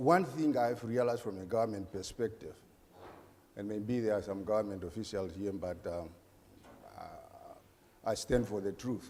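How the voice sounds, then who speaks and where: A man speaks at a medium pitch with ordinary pitch variation. His tone is dark and mellow. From Namibia. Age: 50s. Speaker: government sports official. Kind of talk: panel discussion.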